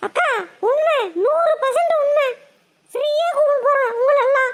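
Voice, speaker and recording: A woman does a squeaky, cartoonish character voice, extremely high in pitch, with lively intonation at a fairly slow pace. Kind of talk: Tamil village colloquial. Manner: wheedling, persuasive.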